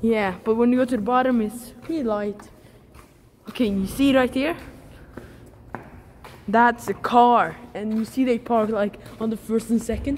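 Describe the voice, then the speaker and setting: Over light background noise, a woman speaks at a moderate pace with ordinary pitch variation and long, frequent pauses. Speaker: vlogger exploring. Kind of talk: casual vlog chat. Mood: excited, slightly nervous. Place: garage. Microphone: phone near.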